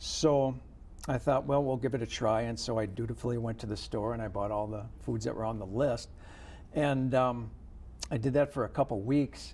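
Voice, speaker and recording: A man with vocal fry at a moderate pace. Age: 50s. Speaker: interview guest on health show. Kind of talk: interview.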